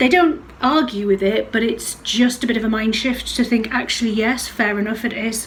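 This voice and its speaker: A woman at a moderate pace with a fairly high pitch, ordinary pitch variation and hardly any pauses, amid audible room echo and noticeable background noise. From West Midlands, then Northumberland. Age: 40s. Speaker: singing teacher. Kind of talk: casual interview chat.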